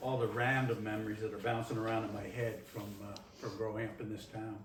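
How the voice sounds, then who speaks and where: A man with a Nova Scotian accent at a moderate pace, with audible room echo and noticeable background noise. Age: 70s. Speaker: community presenter. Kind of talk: reminiscing talk to audience.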